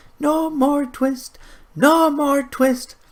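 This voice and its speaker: A man shouts in a put-on character voice at an extremely high pitch. His intonation stays monotone and flat. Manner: shouting in chorus.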